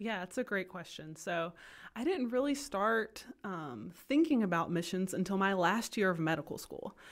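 A plain, everyday voice with an American accent, lively intonation and a moderate pace, in a very clean recording with a silent background. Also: woman, medium pitch for a woman. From US South, eastern North Carolina (Kinston). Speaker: family physician and medical missionary. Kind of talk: interview conversation.

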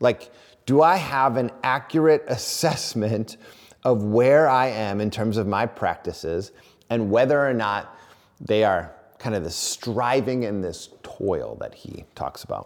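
A man's plain, everyday voice at a medium pitch, with ordinary pitch variation and a fairly slow pace. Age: 40s. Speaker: pastor. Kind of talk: sermon.

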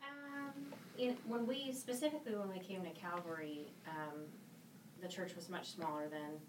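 The speaker has an American accent and very wide pitch swings. Room echo is audible, along with noticeable background noise. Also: woman, medium pitch for a woman, moderate pace. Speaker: worship team singer. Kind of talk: casual chat.

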